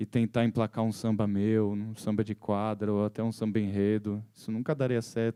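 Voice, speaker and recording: A man speaks in a dark, mellow tone, recorded with a dry, close sound and no echo. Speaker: musician and composer. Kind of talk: talk to an audience. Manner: halting, with repetitions.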